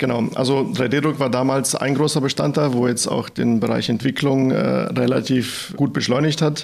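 A man speaks with hardly any pauses at a very even loudness. Background noise is noticeable. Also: medium pitch for a man, fairly even intonation, moderate pace. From Bad Mergentheim, Baden-Württemberg, Germany. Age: 30s. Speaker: engineering team leader. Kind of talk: business podcast interview.

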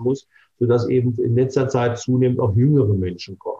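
Here a man talks at a fairly quick pace, his pitch medium and his intonation fairly even. His voice is somewhat breathy. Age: 60s. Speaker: dermatologist and cosmetic surgeon. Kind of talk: interview.

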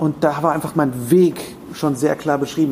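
Noticeable background noise sits under a man's voice. His intonation stays fairly even. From Germany (rural). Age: 30s. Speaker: podcaster and voice actor. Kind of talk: interview. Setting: hotel room.

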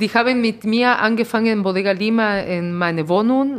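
With a Spanish accent, a woman speaks at a moderate pace with lively intonation. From Peru. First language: Spanish (speaking German). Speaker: restaurant owner. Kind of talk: interview. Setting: in her restaurant.

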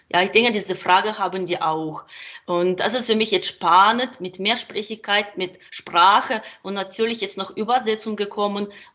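A woman speaks with a Ukrainian accent. Her intonation is fairly even. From Ukraine. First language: Ukrainian and Russian (speaking German). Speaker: translator and kindergarten worker. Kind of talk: interview. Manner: halting.

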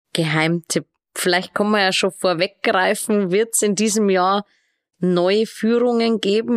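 A woman speaks fairly slowly at a medium pitch with ordinary pitch variation in an unremarkable speaking voice, recorded dry and close with no echo and a very clean, silent background. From Regensburg, Bavaria. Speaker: podcast host. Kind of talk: interview.

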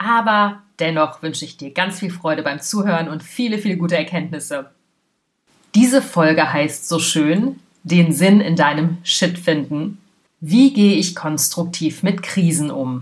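At a fairly slow pace, a woman speaks with a low pitch and ordinary pitch variation.

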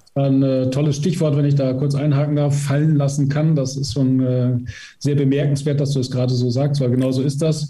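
Audible room echo surrounds a man's fairly high voice. He speaks in a monotone, flat way at a very even loudness. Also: moderate pace. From Emsland, northwestern Germany. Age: 50s. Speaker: physiotherapist and training institute head. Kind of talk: interview.

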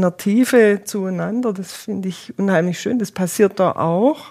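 Over noticeable background noise, a woman talks at a fairly slow pace with medium pitch and ordinary pitch variation. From Swabia, southern Germany (Eislingen). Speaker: volunteer pilgrim companion. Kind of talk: interview.

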